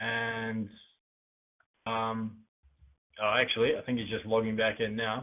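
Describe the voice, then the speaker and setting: The man has an Australian accent and a medium pitch, with monotone, flat intonation. He speaks fairly slowly, with long, frequent pauses. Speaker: podcast interviewer. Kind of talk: interview introduction. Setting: online call. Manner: hesitant, many fillers.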